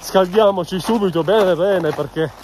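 A moderate pace, a dry sound with no echo, and noticeable background noise. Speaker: hiker vlogger. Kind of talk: casual vlog chat. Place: forest. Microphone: phone near.

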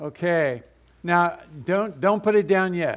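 Against a quiet background, a man talks at a very slow pace with a high pitch. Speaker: lay preacher. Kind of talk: sermon. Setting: stage with audience. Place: church.

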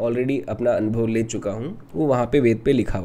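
A man with a Rajasthani accent, dark and mellow in tone, at a moderate pace. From Rajasthan, India. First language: Rajasthani (speaking Hindi). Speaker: meditation teacher. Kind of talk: spiritual talk. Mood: calm, explanatory. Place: home room. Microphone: studio mic.

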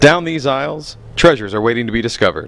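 His pitch shows ordinary variation. The man talks at a very fast pace. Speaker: auction preview presenter. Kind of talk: promotional walkthrough with auctioneer-style sales pitch. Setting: walking through an auction house. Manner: brisk, upbeat, rattling off lot items in a fast salesman patter; enthusiastic, inviting.

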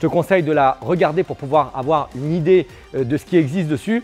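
Faint music plays in the background as a man talks fairly quickly with ordinary pitch variation. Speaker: krav maga instructor. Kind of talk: tutorial. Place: gym.

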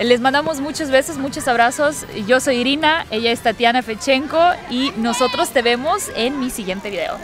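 A woman speaks at a high pitch and a moderate pace with ordinary pitch variation. The sound is dry with no echo, and faint music plays in the background. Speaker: vlogger. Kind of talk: casual vlog chat. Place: street. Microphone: phone near.

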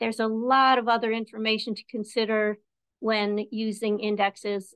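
A woman's fairly slow speech comes through with a quiet background behind it. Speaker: presenter. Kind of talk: lecture. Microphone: video call.

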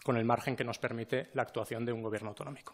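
Here a man speaks at a medium pitch. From Spain, Teruel (Aragón); Aragón, Spain. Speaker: regional government official, scientist. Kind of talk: formal appearance before parliament. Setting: parliament hearing room. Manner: halting, with filler sounds. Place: meeting room. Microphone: podium.

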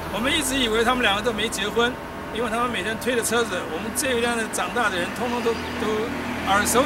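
A man rattles along at a very fast pace while loud background noise plays. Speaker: military village tour guide. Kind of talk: guided walking tour talk. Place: street. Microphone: camera far.

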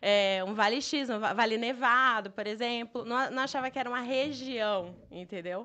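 A woman's fairly high, bright and sharp voice at a moderate pace, with hardly any pauses and ordinary pitch variation. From Brazil, Bahia (Itabuna); Bahia, Brazil. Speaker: travel entrepreneur; podcast guest. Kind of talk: casual interview chat. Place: studio. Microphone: studio mic.

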